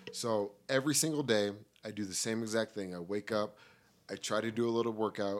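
A man with an American accent talks at a fairly quick pace in a fairly low pitch. He has a plain, everyday voice, and the recording is very clean with a silent background. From Colorado. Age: 20s. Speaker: podcast guest, media professional. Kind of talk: casual chat.

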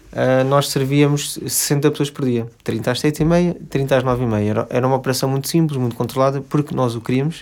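A man at a moderate pace, with fairly even intonation and hardly any pauses, on a very clean recording with a silent background. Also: medium pitch for a man. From Portugal, Lisbon. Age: 30s. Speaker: restaurant owner. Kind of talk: interview. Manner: halting, many fillers.

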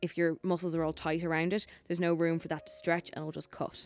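With music in the background, a woman with an Irish accent speaks at a fairly quick pace in a fairly low, monotone, flat voice. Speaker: podcast host. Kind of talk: casual interview chat.

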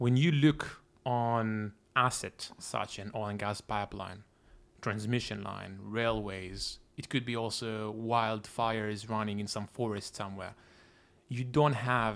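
A man with an Israeli accent at a fairly slow pace. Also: very clean recording, silent background. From Israel, Tel Aviv. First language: Hebrew. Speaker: tech company founder and CEO. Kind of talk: interview.

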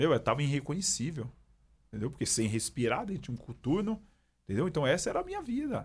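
Speaking at a very fast pace, a man with a fairly high pitch and a somewhat breathy voice swings his pitch very widely. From São Paulo, east side (Itaim Paulista). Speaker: police sergeant and pastor. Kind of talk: personal testimony in casual interview.

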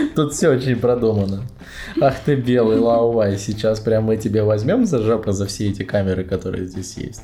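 Over noticeable background noise, a man talks at a moderate pace in a fairly low voice with fairly even intonation and long, frequent pauses. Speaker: podcast host. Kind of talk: casual chat. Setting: bedroom at night, lights off. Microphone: laptop mic placed on a bed.

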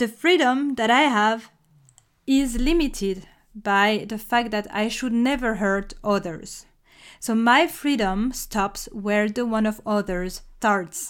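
With a French accent, a woman speaks at a very slow pace and a fairly high pitch with ordinary pitch variation, on a very clean recording with a silent background. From France. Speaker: podcast host. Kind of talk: scripted solo podcast monologue.

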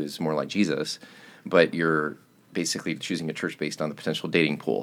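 Marked by vocal fry, this voice with an American accent talks at a fairly quick pace with fairly even intonation. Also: man. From US South, Chattanooga, Tennessee. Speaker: pastor. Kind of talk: casual chat.

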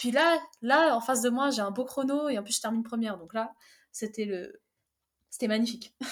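A woman with a fairly high pitch and ordinary pitch variation leaves long, frequent pauses as she speaks. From France, Fontainebleau (born in Algeria). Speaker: track and field athlete. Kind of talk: casual chat.

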